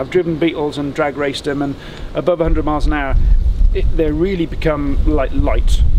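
A man speaks at a fairly quick pace in an ordinary speaking voice, with fairly even intonation. Light background noise can be heard. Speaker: electric car conversion engineer, workshop owner. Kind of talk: technical walkaround explanation. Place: street.

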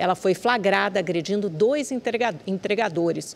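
The speech moves at a moderate pace with ordinary pitch variation. Light background noise sits underneath. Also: woman. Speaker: news anchor. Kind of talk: news reading. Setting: studio. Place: studio. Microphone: lapel.

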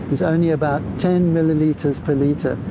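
A man at a moderate pace, dry sound with no echo, noticeable background noise. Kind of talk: interview answer. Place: beach. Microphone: lapel.

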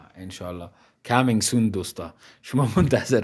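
Animated man at a fairly quick pace, ordinary pitch variation. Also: quiet background. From Afghanistan. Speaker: interviewer. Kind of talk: casual interview. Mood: warm, encouraging. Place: home room. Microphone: handheld.

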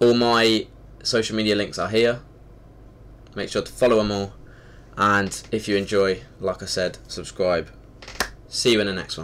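With long, frequent pauses, a man talks at a moderate pace in a fairly low voice with fairly even intonation over light background noise. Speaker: channel host. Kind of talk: casual vlog chat. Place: home room. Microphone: webcam.

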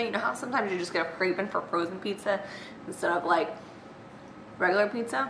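A woman at a very fast pace amid noticeable background noise. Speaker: vlogger. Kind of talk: casual vlog chat. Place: kitchen. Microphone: webcam.

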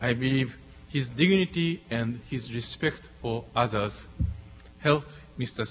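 At a fairly slow pace, a man with a Japanese accent speaks with ordinary pitch variation over light background noise. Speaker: diplomat. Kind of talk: formal speech. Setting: stage with audience. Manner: halting. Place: hall. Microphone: podium.

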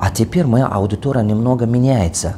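A man at a moderate pace, with ordinary pitch variation and light background noise. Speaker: business coach; coach. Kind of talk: video address. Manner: non-fluent Russian, halting; animated, emphatic. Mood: defensive, passionate. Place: meeting room. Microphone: lapel.

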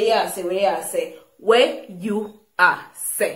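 A woman with a Jamaican accent, audible room echo and a quiet background. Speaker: vlogger teaching patois. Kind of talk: language lesson, speaking patois phrases. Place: home room. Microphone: phone near.

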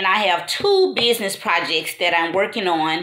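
A woman speaks at a moderate pace with audible echo in the room. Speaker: new vlogger. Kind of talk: casual talk to camera. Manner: hesitant, stuttering. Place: home room. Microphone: phone near.

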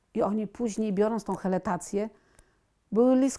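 A normal speaking voice from a woman, fairly high-pitched, at a moderate pace, in a very clean recording with a silent background. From Poland, Warsaw. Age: 60s. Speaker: patient. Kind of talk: testimony.

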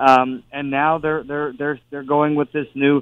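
His pitch varies in an ordinary way. The man's voice sits fairly high. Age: 40s. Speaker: senate candidate, former state attorney general. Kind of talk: radio interview.

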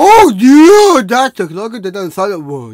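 A man speaks at a fairly slow pace with an extremely high pitch and a slightly mellow tone. His pitch makes very wide swings.

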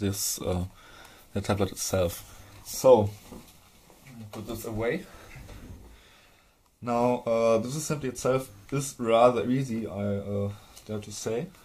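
A man with a slight German accent speaks at a fairly slow pace, with long, frequent pauses. His tone is dark and mellow, somewhat breathy, with ordinary pitch variation. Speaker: hardware tinkerer. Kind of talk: casual tutorial talk to camera. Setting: recorded on camera mic. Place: workshop. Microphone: camera far.

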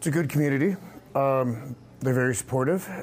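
A man talks at a moderate pace. Light background noise can be heard behind him. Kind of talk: interview answer. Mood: friendly, proud, relaxed. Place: cafe. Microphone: lapel.

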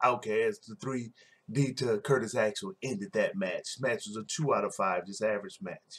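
At a moderate pace, a man is speaking. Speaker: wrestling show reviewer. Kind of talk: casual recap commentary. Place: home room. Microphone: webcam.

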